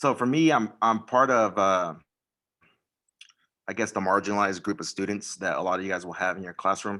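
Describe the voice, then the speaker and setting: On a very clean recording with a silent background, a man with an American accent speaks fairly quickly in a bright, sharp tone. He uses ordinary pitch variation and long, frequent pauses. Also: fairly low pitch for a man. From US, Mexican American. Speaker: teacher. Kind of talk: personal story in panel.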